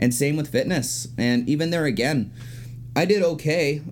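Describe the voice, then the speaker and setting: A man talks in a normal speaking voice. His pace is moderate, with ordinary pitch variation. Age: 30s. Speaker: bodybuilder and personal trainer. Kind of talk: casual chat.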